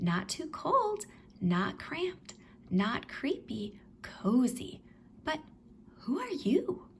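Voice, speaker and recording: Putting on a squeaky character voice, a woman speaks high and very slowly, her pitch swinging very widely between long, frequent pauses. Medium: read story.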